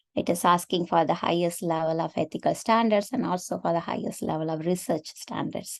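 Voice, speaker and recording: A woman talks at a fairly quick pace with hardly any pauses. Her pitch is fairly low and varies in an ordinary way. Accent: Tamil. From India, Tamil Nadu. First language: Tamil. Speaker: AI researcher and affinity group organizer. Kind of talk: webinar presentation.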